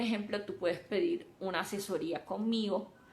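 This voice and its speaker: A woman with a Colombian coastal accent talks at a fairly slow pace. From Colombia, Caribbean coast. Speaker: software developer and mentor. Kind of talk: live stream talk.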